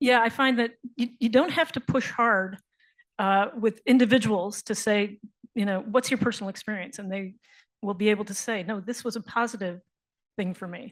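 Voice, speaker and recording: With an unremarkable speaking voice, a woman talks at a moderate pace, her pitch fairly high with ordinary variation and her loudness swinging widely. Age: 60s. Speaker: panel moderator. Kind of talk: panel discussion.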